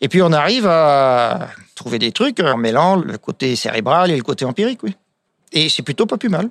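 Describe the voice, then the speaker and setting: In a very clean recording with a silent background, the speaker moves at a moderate pace with very wide pitch swings. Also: man, fairly high pitch for a man. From France, wine village. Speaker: winemaker. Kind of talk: casual interview.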